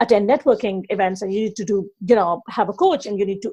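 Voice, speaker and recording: Speaking very fast with a Pakistani accent, a woman has a dark, mellow tone at medium pitch. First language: not English. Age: 30s. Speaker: online business coach. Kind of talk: podcast interview.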